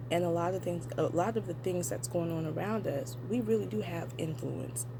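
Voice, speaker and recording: Whispering from a woman at a moderate pace, noticeable background noise behind her. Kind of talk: casual talk to camera. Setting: at work. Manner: whispered.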